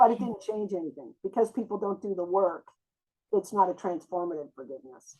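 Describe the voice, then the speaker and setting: A woman with a normal speaking voice, medium pitch, ordinary pitch variation, a fairly quick pace and big swings in loudness. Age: 60s. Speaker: therapist and trauma expert. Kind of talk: interview.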